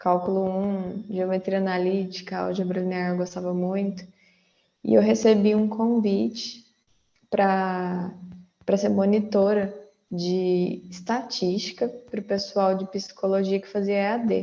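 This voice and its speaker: A woman with a dark, mellow tone speaks fairly slowly at a medium pitch, her intonation monotone and flat. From Brazil, interior of São Paulo state (Franca). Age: 20s. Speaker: data professional, former math teacher. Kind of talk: casual interview.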